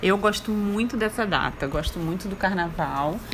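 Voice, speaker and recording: Against noticeable background noise, a woman at medium pitch speaks at a moderate pace with ordinary pitch variation. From Brazil, Rio de Janeiro. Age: 30s. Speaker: mother interviewed by her son. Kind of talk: casual interview.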